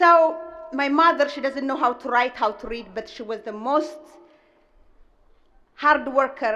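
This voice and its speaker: With a strong Ethiopian accent, a woman projects a raised voice at a moderate pace, her high pitch carrying a bright, sharp tone and ordinary pitch variation. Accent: heavy Ethiopian. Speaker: restaurant owner. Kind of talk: commencement speech. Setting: stage with audience.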